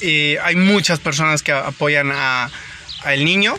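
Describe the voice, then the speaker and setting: A man with lively intonation at a moderate pace, over noticeable background noise. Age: 30s. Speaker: baseball podcast host. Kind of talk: casual monologue. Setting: in a car. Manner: halting.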